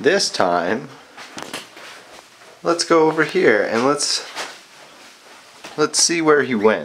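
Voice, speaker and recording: Delivered at a very slow pace with long, frequent pauses, the speech comes through noticeable background noise. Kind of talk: casual talk while filming pet. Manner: heavy breathing, sniffles.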